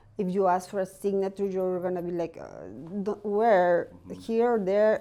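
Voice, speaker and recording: A woman with a Mexican accent speaks at a fairly slow pace in a dark, mellow tone. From Mexico. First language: Spanish. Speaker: real estate agent. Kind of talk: interview answer.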